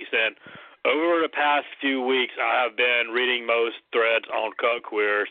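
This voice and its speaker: With ordinary pitch variation, a man's voice holds a medium pitch. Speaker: call-in guest. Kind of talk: casual chat. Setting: video call. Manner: halting.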